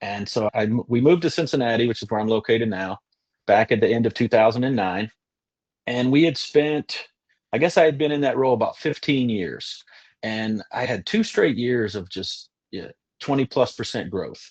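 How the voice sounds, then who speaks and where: The speaker has a slight Kentucky accent and a moderate pace. The background is quiet. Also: man, medium pitch for a man, ordinary pitch variation. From Western Kentucky, US. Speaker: insurance agent. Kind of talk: webinar testimony. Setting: video webinar.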